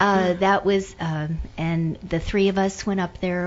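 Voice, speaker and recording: Someone speaks with an American accent at a fairly slow pace. The intonation stays flat and monotone. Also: woman. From Pittsburgh, Pennsylvania. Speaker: retired airline employee and businesswoman. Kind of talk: radio interview.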